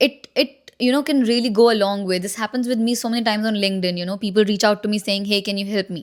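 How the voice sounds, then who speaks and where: A woman speaks at a very fast pace and a fairly high pitch, with ordinary pitch variation. The recording is very clean, with a silent background. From India, Delhi. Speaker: content creator giving advice on moving to Australia. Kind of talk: casual vlog advice talk. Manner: conversational with many fillers.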